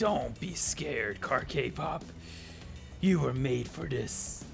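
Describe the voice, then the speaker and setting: Over loud music in the background, a put-on character voice moves at a very slow pace. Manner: scary, spooky.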